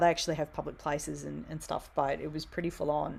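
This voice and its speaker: A woman's very deep, low voice with vocal fry at a very fast pace, on a very clean recording with a silent background. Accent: Australian. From Australia, Wollongong. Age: 40s. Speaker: theatremaker and writer. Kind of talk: casual interview chat. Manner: animated.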